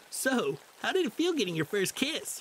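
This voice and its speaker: In a put-on character voice, a man speaks at an extremely high pitch with very wide pitch swings, keeping a moderate pace. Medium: virtual streamer. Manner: upbeat, teasing.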